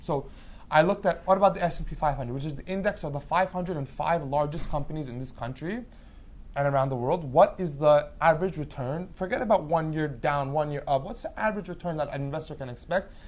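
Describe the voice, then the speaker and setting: A man with an American accent talks at a very fast pace. His pitch is fairly high, and his loudness swings widely. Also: ordinary pitch variation, very clean recording, silent background. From Long Island, New York. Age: 20s. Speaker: hedge fund manager. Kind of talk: interview.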